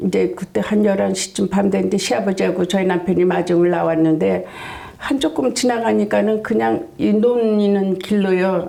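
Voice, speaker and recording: Over noticeable background noise, a woman speaks fairly slowly at a medium pitch, with ordinary pitch variation and very even loudness. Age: 70s. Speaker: senior beauty pageant winner. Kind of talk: interview answer.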